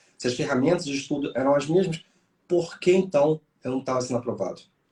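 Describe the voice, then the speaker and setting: Talking at a very fast pace, a man has a dark, mellow tone that is somewhat breathy. His pitch varies in an ordinary way. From Rio de Janeiro, Brazil. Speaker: police chief and exam mentor. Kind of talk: interview chat.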